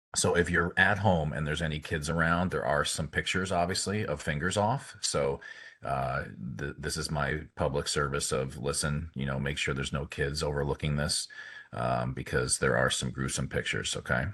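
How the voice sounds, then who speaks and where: A man's very deep, low voice with vocal fry, a bright, sharp tone and ordinary pitch variation. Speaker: orthopedic hand surgeon. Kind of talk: lecture. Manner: fast; halting, many fillers.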